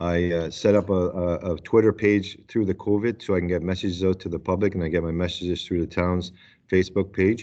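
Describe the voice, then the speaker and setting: Over a quiet background, a man with a very deep, low pitch and a dark, mellow tone talks at a fairly quick pace in monotone, flat intonation. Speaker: town mayor. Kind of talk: council meeting discussion. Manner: halting.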